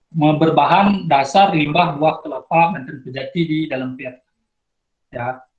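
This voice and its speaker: A man speaks with a strong Balinese accent at a fairly slow pace and fairly high pitch. His loudness swings widely while his pitch variation stays ordinary. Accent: Nusa Penida (Balinese) accent, thick. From Nusa Penida, Bali, Indonesia. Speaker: outstanding student sharing experience. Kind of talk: sharing session talk to students. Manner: halting, many fillers and restarts.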